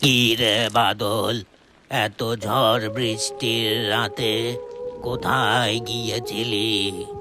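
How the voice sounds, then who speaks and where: Faint music plays in the background as a man in a cartoonish character voice speaks at a medium pitch and a very slow pace. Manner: soft-spoken, affectionate.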